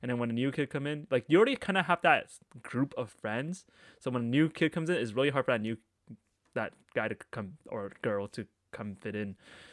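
With a Canadian accent and a normal speaking voice, a man at a medium pitch speaks with lively intonation and big swings in loudness, the sound dry and close with no echo in a very clean recording with a silent background. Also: fairly quick pace. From Canada, Markham, Ontario. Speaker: podcast co-host. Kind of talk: casual chat.

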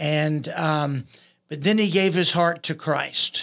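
Someone speaks very slowly with a Texan accent and fairly even intonation. The recording is very clean with a silent background. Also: man. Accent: Texan Southern US. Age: 60s. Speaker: boxing coach and former boxer. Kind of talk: casual podcast chat.

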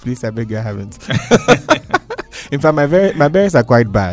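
Speaking at a moderate pace, a man of medium pitch makes big pitch swings.

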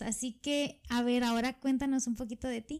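In a very clean recording with a silent background, a woman with a high-pitched voice speaks at a moderate pace. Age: 20s. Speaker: podcast co-host, teacher. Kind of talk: casual chat.

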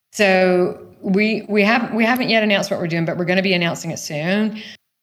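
A woman speaks in an enthusiastic tone with an American accent. Audible room echo surrounds her voice. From US South (rural Georgia, near Savannah). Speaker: business founder and former marketing executive. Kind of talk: casual interview. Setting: online voice chat room.

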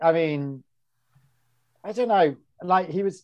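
A man with an English accent speaks at a fairly slow pace. His pitch is high, with ordinary pitch variation. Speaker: podcast co-host. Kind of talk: casual chat. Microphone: no headphones, may sound poor.

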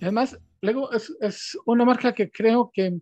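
Dark and mellow in tone, the voice shows ordinary pitch variation, with a dry, close sound and no echo. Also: man. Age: 50s. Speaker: podcast host, digital strategy director. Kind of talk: interview.

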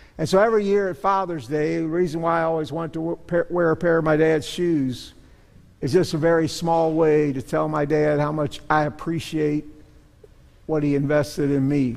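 A man talks at a moderate pace in a normal speaking voice with a fairly high pitch. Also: fairly even intonation. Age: 60s. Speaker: pastor. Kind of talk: sermon. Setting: church.

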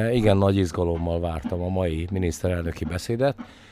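A man's tone is dark and mellow, and his pitch varies in an ordinary way. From Villány, southern Hungary. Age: 50s. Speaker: winemaker and former MP. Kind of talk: interview. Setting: makeshift studio at a festival. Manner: hesitant, many fillers.

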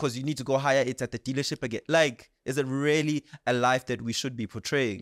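On a very clean recording with a silent background and a dry, close sound with no echo, a man talks at a fairly quick pace. He has an unremarkable speaking voice, fairly high in pitch, with ordinary pitch variation. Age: 20s. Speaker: podcast host and MC. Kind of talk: interview.

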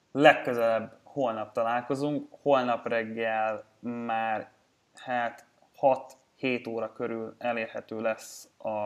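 At a very slow pace, a man with medium pitch talks in a monotone, flat way. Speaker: sports betting podcast host. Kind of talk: casual chat.

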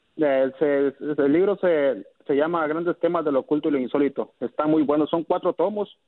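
At a moderate pace, a man with a fairly high pitch speaks in a plain, everyday voice, with ordinary pitch variation and very even loudness. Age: 20s. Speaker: caller. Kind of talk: casual chat.

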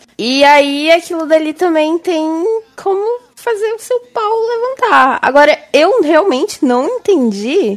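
A high-pitched woman at a fairly slow pace, with very wide pitch swings. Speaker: podcast co-host. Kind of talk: casual chat; show outro.

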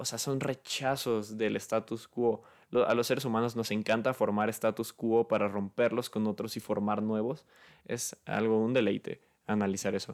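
A man's medium-pitched voice in a Mexican accent, monotone with flat intonation, at a moderate pace on a very clean recording with a silent background. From Mexico, Guadalajara. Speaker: podcast host. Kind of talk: unscripted solo monologue. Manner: halting, many fillers.

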